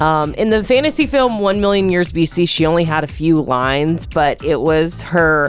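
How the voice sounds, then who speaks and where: With noticeable background noise behind her, a woman speaks at a fairly slow pace in a fairly low pitch. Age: 30s. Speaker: radio host. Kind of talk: morning radio show.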